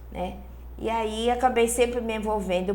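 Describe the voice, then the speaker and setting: A woman talks fairly slowly while room echo is audible around her. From Angola. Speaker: spiritist speaker. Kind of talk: interview. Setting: studio.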